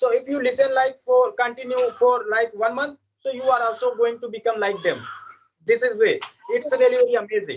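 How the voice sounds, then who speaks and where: A man with an Indian accent, an extremely high pitch and a fairly quick pace. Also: ordinary pitch variation. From India, village. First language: Indian language. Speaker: English learner. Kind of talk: casual chat. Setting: video call. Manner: halting.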